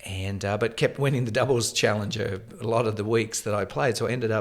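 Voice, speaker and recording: This is a man with a fairly low pitch. He speaks with an Australian accent. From Australia, Tasmania. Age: 50s. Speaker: former pro tennis player and coach. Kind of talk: interview.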